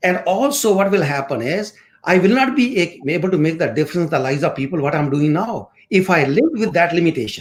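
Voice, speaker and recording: A man with an Indian accent speaks at a fairly quick pace. His high voice has lively intonation. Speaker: course instructor and motivational speaker. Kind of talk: interview.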